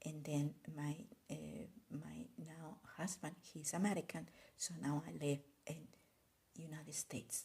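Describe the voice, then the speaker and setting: Speaking at a fairly slow pace with a Spanish accent, a woman leaves long, frequent pauses. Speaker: art content creator. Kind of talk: casual live video chat. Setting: live stream. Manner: code-switching Spanish and English.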